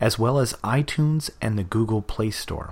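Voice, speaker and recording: A man with an unremarkable speaking voice talks at a fairly slow pace and medium pitch with ordinary pitch variation, in a very clean recording with a silent background. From Canada, Vancouver area. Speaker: podcast novelist. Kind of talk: scripted introduction.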